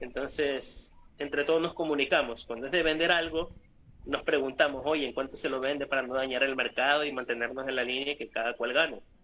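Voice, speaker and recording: Fairly quick and fairly high in pitch, a man speaks with a bright, sharp tone. His intonation stays fairly even. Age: 30s. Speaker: prop maker. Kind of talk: casual interview chat.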